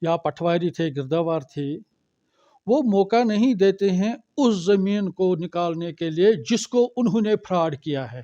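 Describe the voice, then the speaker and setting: With a dark, mellow tone and a high pitch, a man speaks with lively intonation in a dry, close sound with no echo. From Srinagar, Kashmir. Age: old. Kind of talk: press conference statement.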